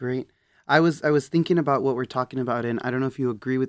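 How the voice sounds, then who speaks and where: On a very clean recording with a silent background, a man with an American accent and a plain, everyday voice speaks at medium pitch with fairly even intonation. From Texas. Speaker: student affairs podcast host. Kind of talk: interview.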